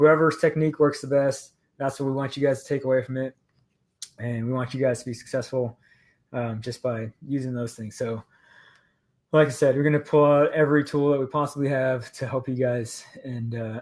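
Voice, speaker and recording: A soft-spoken man talks at a fairly quick pace and medium pitch, his intonation monotone and flat. The recording is very clean, with a silent background. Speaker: pararescue instructor, fitness coach. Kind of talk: casual chat. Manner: casual, filler-heavy.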